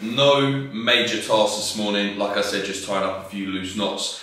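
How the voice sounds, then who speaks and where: A man speaks with ordinary pitch variation. Strong room echo surrounds his voice. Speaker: fitness vlogger. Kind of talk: casual vlog chat. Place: home room. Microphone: camera far.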